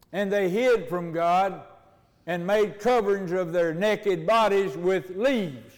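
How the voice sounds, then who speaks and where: Fairly slow speech from a man with a high pitch. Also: ordinary pitch variation. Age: 80s+. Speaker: preacher. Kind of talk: sermon. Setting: church.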